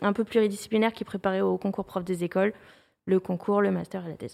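On a very clean recording with a silent background, the voice holds a fairly even intonation. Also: woman. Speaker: YouTuber, history educator. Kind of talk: interview. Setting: studio, livestream with chat.

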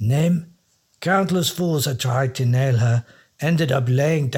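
Quiet background behind an unforced reading voice with ordinary pitch variation

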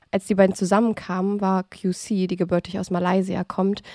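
A woman speaks at a moderate pace in a medium pitch, her tone dark and mellow and her intonation monotone and flat. The recording is very clean with a silent background, and the sound is dry and close with no echo. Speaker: true crime podcast host and narrator. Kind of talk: scripted narration of a crime case.

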